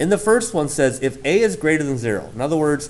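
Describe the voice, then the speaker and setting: A man's fairly high-pitched voice, fairly quick, with very wide pitch swings and audible room echo. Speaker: math teacher. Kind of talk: lecture.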